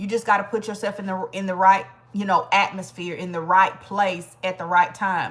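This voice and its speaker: A woman speaks at medium pitch and a moderate pace. Her loudness swings widely. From Georgia, US South. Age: 40s. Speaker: livestream host. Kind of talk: casual livestream chat. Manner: animated.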